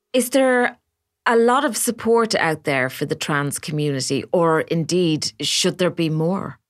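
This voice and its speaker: In a very clean recording with a silent background, a woman with an Irish accent speaks at a fairly slow pace and fairly low pitch, her voice making very wide pitch swings. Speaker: podcast host. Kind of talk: interview.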